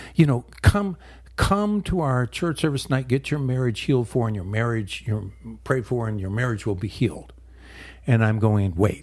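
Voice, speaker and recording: A man speaks with lively intonation. His voice is somewhat breathy. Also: medium pitch for a man, moderate pace. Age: 70s. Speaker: pastor and ministry leader. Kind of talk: radio interview. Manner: hesitant, many filler words.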